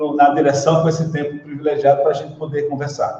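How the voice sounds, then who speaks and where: With a Pernambuco accent, a man talks very fast in a fairly high voice against noticeable background noise. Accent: Pernambuco (northeastern Brazilian). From Pernambuco, Brazil (Surubim, interior). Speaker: school director and educator. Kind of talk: interview on live stream.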